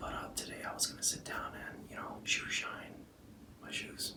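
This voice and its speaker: A man is whispering. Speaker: men's style YouTuber; presenter. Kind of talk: ASMR tutorial. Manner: casual. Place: home room.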